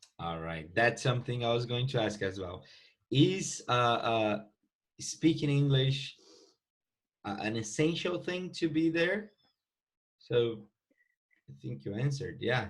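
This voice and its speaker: Somewhat breathy and medium-pitched, a man with a Portuguese accent speaks at a fairly slow pace with long, frequent pauses and very wide pitch swings. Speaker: English teacher podcast host. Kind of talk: casual interview.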